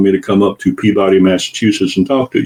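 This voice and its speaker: Speaking at a fairly quick pace, a man with a Southern US accent talks in a fairly low pitch. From US South. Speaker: guest, former consultant. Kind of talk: casual chat.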